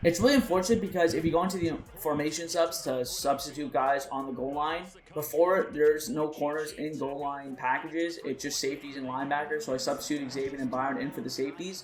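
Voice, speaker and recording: A man at fairly high pitch, very fast in pace, with ordinary pitch variation and noticeable background noise. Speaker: gaming youtuber. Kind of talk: gameplay commentary. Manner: louder than usual.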